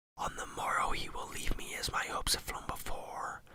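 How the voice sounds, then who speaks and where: The speaker is whispering. The pace is moderate. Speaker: ASMR storyteller. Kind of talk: poetry reading. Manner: whispered.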